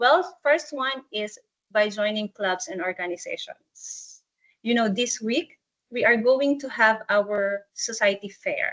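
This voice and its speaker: With a non-native accent, a woman speaks very slowly at a fairly high pitch. Her intonation is lively. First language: not English. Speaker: student support staff. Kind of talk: webinar presentation. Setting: online webinar.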